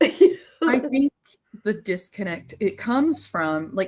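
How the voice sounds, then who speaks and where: This woman's voice is fairly high and somewhat breathy, with very wide pitch swings. The sound is dry and close, with no echo. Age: 30s. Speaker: podcast host. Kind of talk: interview conversation.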